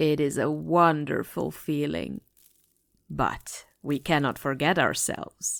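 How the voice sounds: In a put-on character voice, a woman speaks slowly at a low pitch with vocal fry and ordinary pitch variation, on a very clean recording with a silent background.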